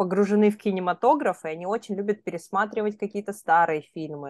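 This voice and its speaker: In a dry, close sound with no echo and a quiet background, a woman with a plain, everyday voice talks fairly quickly at a medium pitch with ordinary pitch variation. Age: 30s. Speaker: podcast co-host. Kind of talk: casual chat.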